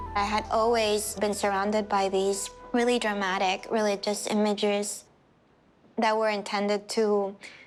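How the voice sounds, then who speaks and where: Delivered at a fairly slow pace in a flat monotone, the speech comes with a Spanish accent. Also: woman. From Puerto Rico. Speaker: sculptor. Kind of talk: documentary interview.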